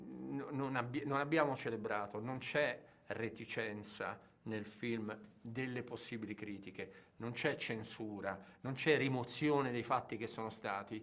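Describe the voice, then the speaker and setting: At a fairly slow pace, a man talks in a plain, everyday voice of medium pitch with ordinary pitch variation. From Turin, Italy. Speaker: film director. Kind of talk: interview.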